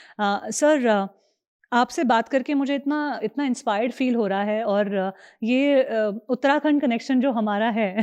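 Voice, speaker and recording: A woman speaks in a normal speaking voice, pitched fairly high with ordinary variation. The background is quiet. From Kumaon, Uttarakhand, India. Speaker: podcast host. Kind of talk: podcast interview.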